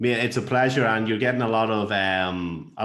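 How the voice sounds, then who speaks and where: The speech moves at a moderate pace with fairly even intonation, and audible room echo is present. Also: man. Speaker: podcast host. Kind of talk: casual podcast interview. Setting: podcast.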